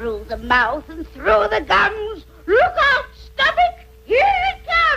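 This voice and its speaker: An extremely high-pitched, cartoonish character voice speaks at a fairly slow pace. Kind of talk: comic cartoon voice acting. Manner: cackling, wisecracking.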